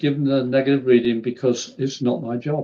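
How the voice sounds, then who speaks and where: With an English accent, a man speaks at a fairly high pitch. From England. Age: 60s. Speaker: spiritual medium. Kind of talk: podcast interview.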